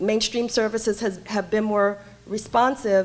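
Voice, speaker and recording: A woman with a New York accent speaks fairly slowly at a fairly high pitch over noticeable background noise. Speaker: homeless services director. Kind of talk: panel talk. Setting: conference stage with audience. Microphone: too quiet at first, mic held away.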